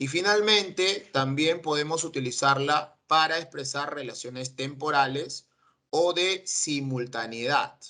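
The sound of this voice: At a fairly slow pace, a man with a fairly high pitch and a bright, sharp tone speaks with ordinary pitch variation.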